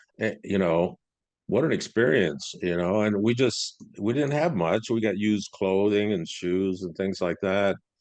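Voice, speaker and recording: A man's fairly low voice in a Midwestern American accent, with ordinary pitch variation over a quiet background. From US Midwest, Cleveland, Ohio. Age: 60s. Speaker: business consultant and speaker. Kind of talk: interview podcast. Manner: casual, hesitant fillers.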